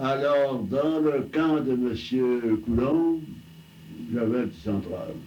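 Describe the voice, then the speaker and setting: With lively intonation and a medium-pitched voice, a man speaks very slowly over noticeable background noise. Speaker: telephone line builder, early telephone pioneer. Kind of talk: oral history interview answer. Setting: archival recording.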